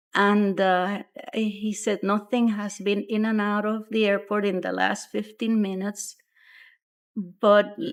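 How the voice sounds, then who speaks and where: Flat, monotone delivery from a woman at a fairly slow pace, on a very clean recording with a silent background. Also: medium pitch for a woman. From Puerto Rico. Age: 70s. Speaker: UFO eyewitness. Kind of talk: interview testimony.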